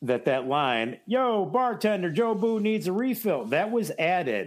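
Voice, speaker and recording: With very wide pitch swings and hardly any pauses, a high-pitched man keeps his loudness very even. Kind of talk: casual podcast banter, movie analysis. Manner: chatty, enthusiastic, stumbling.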